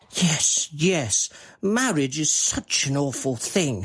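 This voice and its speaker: Using a put-on character voice, a man speaks at a very slow pace with a fairly high pitch and very wide pitch swings. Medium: audio drama. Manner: earnest, hesitant.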